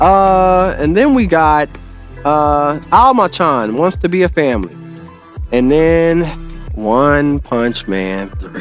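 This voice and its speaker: With music in the background, a man speaks at a very slow pace in a fairly high pitch with very wide pitch swings. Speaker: podcast host. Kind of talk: casual podcast talk. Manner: casual, unfiltered.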